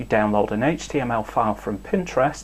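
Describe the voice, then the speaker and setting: A man with a northern English accent speaks at a moderate pace. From northern England. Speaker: tech news presenter. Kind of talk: scripted news update.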